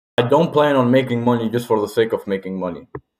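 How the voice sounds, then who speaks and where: Here a man with an unremarkable speaking voice talks at medium pitch, with ordinary pitch variation. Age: 20s. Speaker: vlogger. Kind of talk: personal reflection monologue. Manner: casual, informal.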